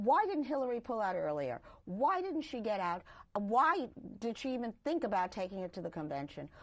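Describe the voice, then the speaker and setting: With an American accent, a woman talks at a moderate pace. Her pitch is fairly high and swings very widely. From New York City (Brooklyn/Queens). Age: 60s. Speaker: political party official. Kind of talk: interview.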